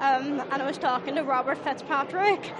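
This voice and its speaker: A woman with a Belfast accent talks at a moderate pace in a high pitch. Crowd noise and audible room echo sit behind her. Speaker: ice academy mentor. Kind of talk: interview. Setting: city hall event.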